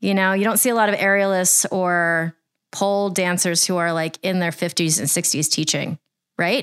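Against a silent background in a very clean recording, a woman with an ordinary speaking voice talks at a moderate pace and medium pitch, with fairly even intonation and very even loudness. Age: 40s. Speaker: aerial silks teacher and podcast host. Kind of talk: casual chat.

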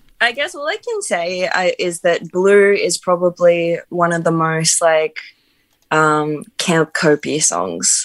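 Speaking very slowly, the woman has an Australian accent. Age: 20s. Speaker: musician. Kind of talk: casual chat.

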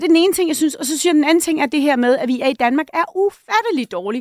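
A high-pitched woman's voice is heard in a very clean recording with a silent background and a dry, close sound with no echo. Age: 50s. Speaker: think tank director. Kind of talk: panel discussion. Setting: studio.

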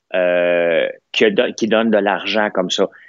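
In a Quebec accent, a man speaks very slowly. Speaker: business owner and commentator. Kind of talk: heated debate. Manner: animated.

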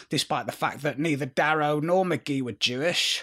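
Recorded very cleanly against a silent background, a man with a northern English accent speaks at a moderate pace with ordinary pitch variation. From northern England. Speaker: history podcast host. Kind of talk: scripted narration.

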